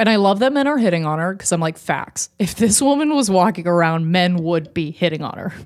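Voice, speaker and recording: In a very clean recording with a silent background, a woman with a normal speaking voice talks at a fairly quick pace and medium pitch, using lively intonation. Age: 20s. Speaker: podcast co-host. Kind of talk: casual chat.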